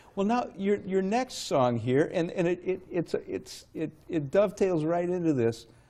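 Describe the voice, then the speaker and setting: Speaking at a fairly slow pace, a man with a high pitch and a dark, mellow tone uses lively intonation. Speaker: guest TV host. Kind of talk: public access TV interview. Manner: casual, conversational.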